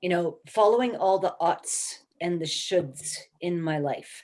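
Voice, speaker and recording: A woman with an ordinary speaking voice talks at a moderate pace, her fairly low pitch showing ordinary variation. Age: 60s. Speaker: career mentor. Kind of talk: motivational talk.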